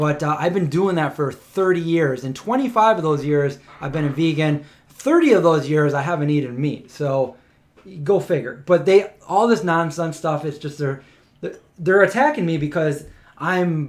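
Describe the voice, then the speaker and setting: This man has an American accent and a fairly high pitch. He talks at a moderate pace in an animated tone, with ordinary pitch variation. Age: 40s. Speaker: vegan lifestyle YouTuber. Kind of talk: casual livestream chat.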